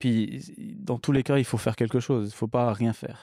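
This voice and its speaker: With fairly even intonation, a man at a medium pitch speaks at a fairly quick pace, captured on a very clean recording with a silent background and a dry, close sound with no echo. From English-speaking country, moved to France at 10. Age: 30s. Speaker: bike shop owner. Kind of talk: podcast interview. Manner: casual, hesitant with fillers.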